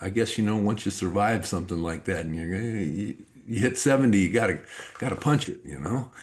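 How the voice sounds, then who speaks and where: Over noticeable background noise, a man with a fairly low voice talks at a fairly quick pace with lively intonation. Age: 60s. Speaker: life coach and author. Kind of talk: podcast interview.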